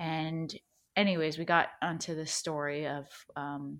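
A woman speaks with an American accent at a fairly low pitch. Her pace is very slow.

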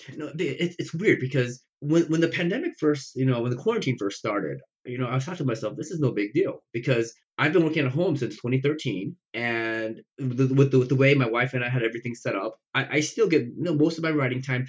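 With an American accent, a man talks at a fairly quick pace and medium pitch, somewhat breathy, with ordinary pitch variation and hardly any pauses. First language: not English (immigrated at age five). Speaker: science fiction author. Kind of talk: casual chat.

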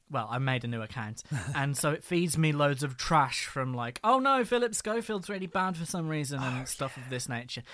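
On a very clean recording with a silent background, a man with a fairly high pitch and a bright, sharp tone talks at a fairly quick pace with lively intonation. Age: 20s. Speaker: podcast co-host. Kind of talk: scripted narration; casual chat.

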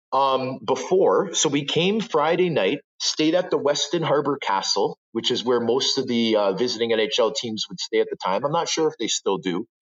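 A man speaks at a moderate pace with a Canadian accent. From Toronto, Canada (Scarborough). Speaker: retired hockey player. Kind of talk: interview. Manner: animated.

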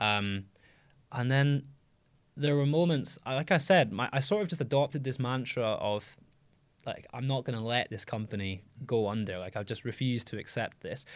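A man with an ordinary speaking voice talks at a medium pitch and a moderate pace. His intonation is lively, and the recording is very clean with a silent background. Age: 20s. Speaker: startup founder and CEO. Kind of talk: interview.

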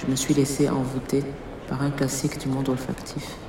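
Noticeable background noise sits behind this recording. A woman speaks with a very deep, low pitch. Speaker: poet. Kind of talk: poetry reading. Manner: slow.

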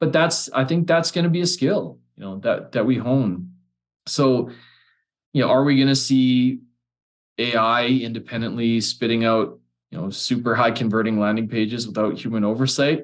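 This is an unremarkable speaking voice: a man with a Canadian accent at a medium pitch. He moves at a moderate pace with ordinary pitch variation. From Alberta, Canada. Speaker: copywriter and business founder. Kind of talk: casual chat.

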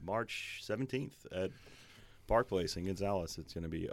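With a Louisiana accent and a fairly low pitch, a man speaks at a moderate pace with ordinary pitch variation on a very clean recording with a silent background. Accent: Louisiana Southern American. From Louisiana, Baton Rouge area. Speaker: musician. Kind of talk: casual chat.

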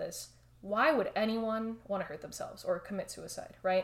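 A woman with an American accent has a normal speaking voice. She talks at a fairly quick pace with a fairly high pitch. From Miami, Florida. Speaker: counseling psychology researcher. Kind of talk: expert interview.

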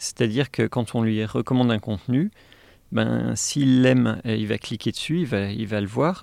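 The man speaks at medium pitch and a moderate pace, with ordinary pitch variation. The sound is dry and close with no echo, over a quiet background. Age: 40s. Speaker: AI engineer and tech whistleblower. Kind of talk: interview. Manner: hesitant, many fillers and repetitions.

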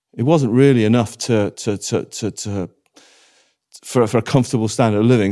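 In a Welsh accent, a man with a dark, mellow tone talks at a fairly quick pace on a very clean recording with a silent background. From Wales. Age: 50s. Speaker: former travel writer and radio presenter. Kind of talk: casual interview conversation. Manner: repetitive stammering restarts.

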